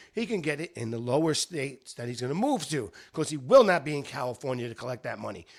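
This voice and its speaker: An animated man with an American accent and very wide pitch swings. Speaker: podcast host. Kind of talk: sports rant podcast. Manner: loud.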